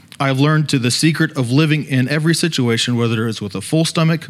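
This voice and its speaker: A plain, everyday voice from a man, medium in pitch with ordinary pitch variation and a fairly quick pace. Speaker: student leader preacher. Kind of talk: sermon. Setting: church.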